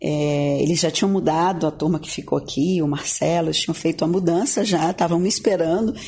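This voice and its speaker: The speech moves at a fairly quick pace with hardly any pauses. Intonation stays fairly even. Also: woman, fairly low pitch for a woman. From Tocantins, Brazil (Gurupi). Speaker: journalist turned advertising professional. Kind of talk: radio interview. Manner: halting, with repeated words.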